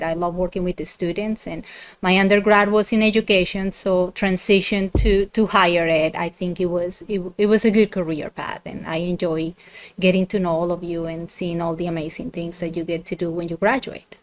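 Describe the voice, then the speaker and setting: In a very clean recording with a silent background, a woman talks at a moderate pace. Her medium-pitched voice has ordinary pitch variation and big swings in loudness. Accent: Colombian. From Colombia, Bogota. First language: Spanish. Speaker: university dean. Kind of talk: podcast interview.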